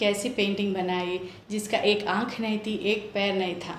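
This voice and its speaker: A woman speaks with a Telangana accent at a fairly high pitch. The room echo is audible and the background noise is noticeable. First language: Telugu (speaking Hindi). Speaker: homemaker, storytelling contestant. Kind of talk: storytelling.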